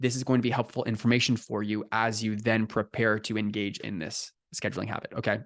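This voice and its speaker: With an energetic tone, a man speaks at a very fast pace with hardly any pauses against a quiet background. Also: medium pitch for a man. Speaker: life coach. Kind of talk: recorded coaching session.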